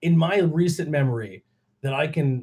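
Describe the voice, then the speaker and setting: A man's fairly high, somewhat breathy voice with an American accent and ordinary pitch variation. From Pennsylvania, US. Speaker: podcast host. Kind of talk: casual chat.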